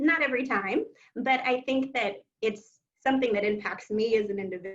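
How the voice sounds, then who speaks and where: This woman has an ordinary speaking voice, fairly high in pitch. She talks at a fairly quick pace with ordinary pitch variation. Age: young. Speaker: genetic counselor. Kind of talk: panel discussion.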